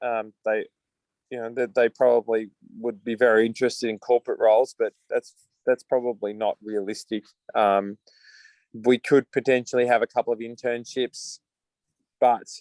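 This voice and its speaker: A man with an Australian accent at a moderate pace, monotone and flat in intonation, with long, frequent pauses and a dry, close sound without echo. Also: medium pitch for a man. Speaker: coffee company founder. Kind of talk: video call interview. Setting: video call.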